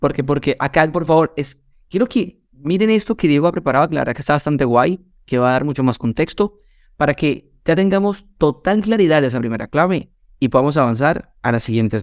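Recorded with a dry, close sound and no echo, a man with a fairly high pitch uses a normal speaking voice, lively intonation and a fairly quick pace. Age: 30s. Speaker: real estate marketing podcast co-host. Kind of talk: casual chat.

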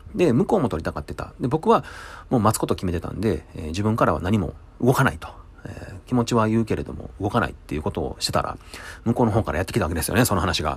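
A somewhat breathy man's voice at a very fast pace, with very wide pitch swings. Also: fairly low pitch for a man. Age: 40s. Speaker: restaurant kitchen worker. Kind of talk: casual monologue.

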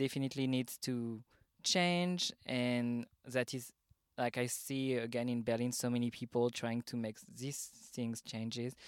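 The speaker has a French accent, captured in a very clean recording with a silent background. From Paris, France. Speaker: drag artist and event organiser. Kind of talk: casual interview chat.

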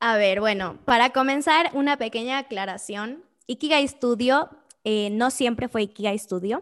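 Recorded very cleanly against a silent background, a woman with a fairly high pitch speaks at a fairly slow pace with ordinary pitch variation. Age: 20s. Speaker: entrepreneur. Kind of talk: interview.

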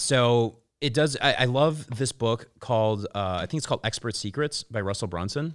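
A normal speaking voice with an American accent goes at a moderate pace with ordinary pitch variation and hardly any pauses, on a very clean recording with a silent background. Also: man, medium pitch for a man. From Chicago, US Midwest. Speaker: publicist and influencer marketer. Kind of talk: casual interview chat. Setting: studio.

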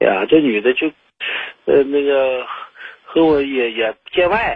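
Pitched fairly high, a man talks at a fairly slow pace with ordinary pitch variation. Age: 40s. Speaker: caller. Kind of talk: call-in advice. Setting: phone call. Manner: halting.

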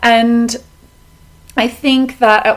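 A woman with an Australian accent speaks in a warm tone. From Melbourne, Australia. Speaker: podcast host. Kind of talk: solo podcast monologue on mindfulness. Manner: warm, friendly, conversational.

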